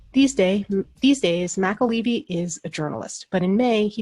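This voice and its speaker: Music plays behind a woman speaking with lively intonation. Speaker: podcast host. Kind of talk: podcast interview.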